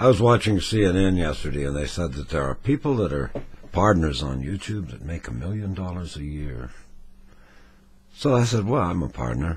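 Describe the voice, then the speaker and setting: A man speaks with a very deep, low voice that swings very widely in pitch. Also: moderate pace. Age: 60s. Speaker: retiree. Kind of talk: casual talk to camera. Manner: wry, rambling.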